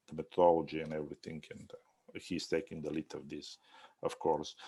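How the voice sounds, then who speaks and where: Very deep and low in pitch, a man speaks with a dark, mellow tone. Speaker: architecture instructor. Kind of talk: review critique. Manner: halting, many fillers.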